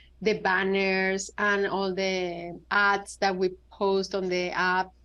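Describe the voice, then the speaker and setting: In a Spanish accent, a woman speaks very slowly at medium pitch with a bright, sharp tone against a quiet background. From Venezuela. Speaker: app founder and designer. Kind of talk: interview.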